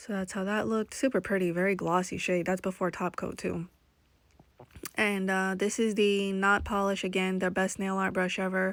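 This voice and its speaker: A woman speaks at a moderate pace in a medium pitch. Her intonation stays flat and monotone. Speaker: nail art hobbyist vlogger. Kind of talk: tutorial voiceover. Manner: casual, filler-heavy.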